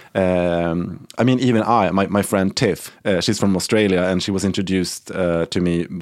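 With a Swedish accent, a man speaks at a moderate pace in a very deep, low pitch, with fairly even intonation, very even loudness and hardly any pauses. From Sweden. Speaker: interior and set designer. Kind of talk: casual chat.

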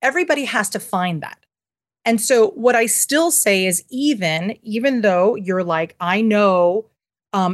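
A woman with a New York accent speaks at a medium pitch with lively intonation against a quiet background. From New York City (Manhattan). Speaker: parenting resource founder and author. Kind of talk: interview conversation.

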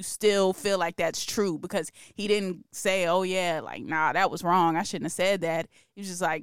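An animated woman with an American accent at medium pitch and a moderate pace. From New Jersey, Newark. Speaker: podcast host. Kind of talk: casual chat.

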